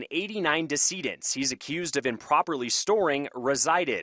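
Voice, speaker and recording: Delivered at a moderate pace, an unremarkable speaking voice carries lively intonation. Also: man. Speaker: TV news anchor and reporter. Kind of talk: TV news anchor and reporter delivery. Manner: serious reporter voice-over.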